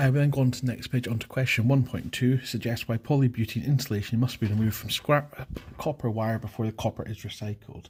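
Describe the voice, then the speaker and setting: A man at a medium pitch, very fast and with hardly any pauses, his intonation fairly even. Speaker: chemistry teacher. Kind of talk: exam walkthrough tutorial.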